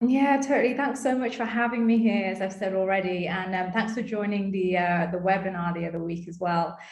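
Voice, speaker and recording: With noticeable background noise and audible room echo, a woman talks at a fairly quick pace with hardly any pauses, her medium-pitched voice showing ordinary pitch variation. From England, UK. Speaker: dentist. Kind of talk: casual interview chat.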